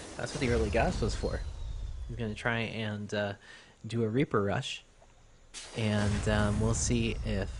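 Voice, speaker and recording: A man at a fairly low pitch, somewhat breathy, speaking at a moderate pace. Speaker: amateur StarCraft 2 shoutcaster. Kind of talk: esports game commentary. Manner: casual, hesitant with frequent filler words.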